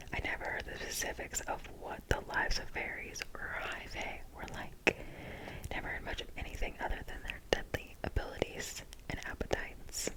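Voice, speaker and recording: A woman whispers over noticeable background noise. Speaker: ASMR creator. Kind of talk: ASMR book reading. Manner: soft, slow, whispered.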